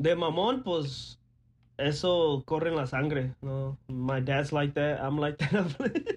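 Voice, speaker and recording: At a very slow pace, the somewhat breathy voice shows ordinary pitch variation. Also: man, fairly high pitch for a man. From Monterrey, Nuevo León, Mexico. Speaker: podcast co-host, aspiring sports journalist. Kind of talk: casual chat. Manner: bilingual code-switching.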